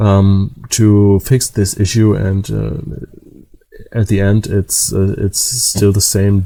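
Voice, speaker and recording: A man's very slow, monotone delivery in a German accent, flat in intonation and fairly low in pitch. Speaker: DIY electronics repair youtuber. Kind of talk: tutorial. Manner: halting, many fillers.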